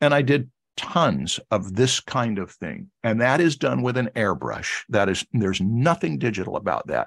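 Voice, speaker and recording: A man speaks with lively intonation. His voice has vocal fry. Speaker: art instructor. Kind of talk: lecture. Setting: video call.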